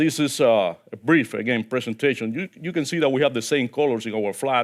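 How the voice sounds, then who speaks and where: This man has a Cuban accent and a medium-pitched voice. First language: Spanish. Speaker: diplomat. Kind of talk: keynote speech. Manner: halting.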